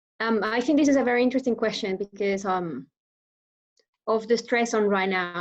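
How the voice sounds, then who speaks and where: A woman with a Venezuelan accent, fairly high in pitch, at a moderate pace and with ordinary pitch variation. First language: Spanish. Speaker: public speaker. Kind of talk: interview. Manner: hesitant, many fillers.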